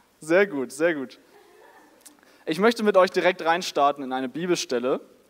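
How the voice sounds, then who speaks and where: This man's voice sits at a fairly high pitch with ordinary pitch variation. His tone is animated. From northern Germany, near Denmark. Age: 20s. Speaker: student, youth preacher, worship leader. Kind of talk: sermon. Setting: church service with audience.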